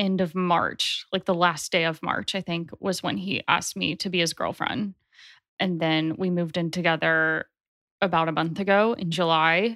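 A woman's voice sits fairly low, with a bright, sharp tone. The recording is very clean, with a silent background and a dry, close sound with no echo. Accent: American. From US South, Nashville, Tennessee. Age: 20s. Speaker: astrologer. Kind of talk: casual interview chat.

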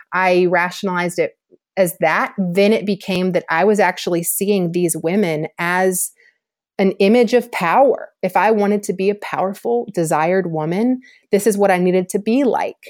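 A woman speaks in an unremarkable speaking voice with an American accent. Her pitch is medium, with ordinary variation, at a moderate pace. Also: very even loudness, very clean recording, silent background. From US South, Georgia. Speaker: author and former soccer player. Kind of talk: podcast interview testimony.

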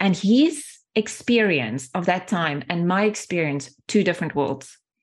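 A woman with a South African accent at a moderate pace against a quiet background. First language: Afrikaans. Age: 40s. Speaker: sales training and development leader. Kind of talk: casual interview conversation.

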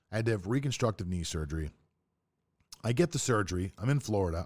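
In a very clean recording with a silent background, a man with an American accent talks at a very fast pace, his fairly low pitch carrying lively intonation. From Pittsburgh, Pennsylvania. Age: 40s. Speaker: podcast host, sports trader. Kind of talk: casual monologue.

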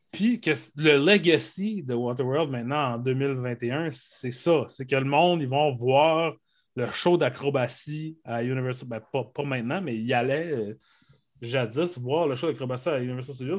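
A man's normal speaking voice, fairly high in pitch, with ordinary pitch variation and a fairly slow pace, in a very clean recording with a silent background. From Quebec, Saguenay (Arvida). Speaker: podcast co-host. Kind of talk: casual chat.

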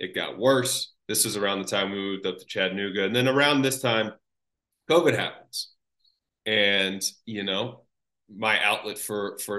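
A man's fairly low voice with a bright, sharp tone and ordinary pitch variation. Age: 30s. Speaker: podcast host and accountant. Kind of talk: interview. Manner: casual.

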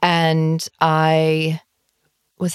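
A woman with an Australian accent and a very deep, low pitch, in a dry, close sound with no echo. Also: very clean recording, silent background. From Sydney, Australia (North Shore). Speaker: travel writer. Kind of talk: casual chat.

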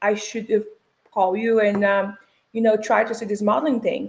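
A woman speaks with a Brazilian accent. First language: Portuguese. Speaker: fashion model and influencer. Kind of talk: interview.

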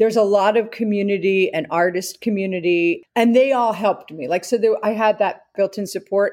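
With an American accent, a woman speaks at a medium pitch and a fairly quick pace, with ordinary pitch variation and hardly any pauses. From New Jersey. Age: 50s. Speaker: writer and entrepreneur. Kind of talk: interview conversation. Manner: animated.

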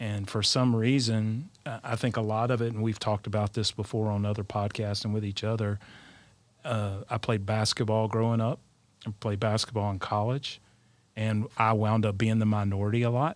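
The voice has an Alabama accent and monotone, flat intonation. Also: man, fairly low pitch for a man, moderate pace. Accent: Southern US (Alabama). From South Alabama. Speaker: leadership coach, parent. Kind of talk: panel discussion.

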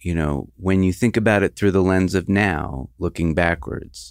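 A man speaks at a fairly slow pace in a very deep, low voice. The recording is very clean, with a silent background. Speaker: podcast host interviewer. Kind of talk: interview. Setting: studio.

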